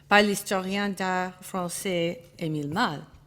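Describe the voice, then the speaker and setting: A woman with an English accent speaks at a very slow pace and medium pitch. Her intonation is fairly even, and the recording is very clean with a silent background. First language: English (speaking French). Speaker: art historian. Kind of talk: conference talk. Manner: halting, with hesitations and self-corrections.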